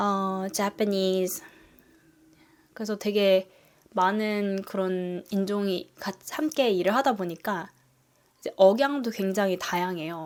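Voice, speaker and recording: Speaking very slowly, a woman leaves long, frequent pauses. Her medium pitch shows ordinary variation. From South Korea. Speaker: nurse and family vlogger. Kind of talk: casual vlog talk.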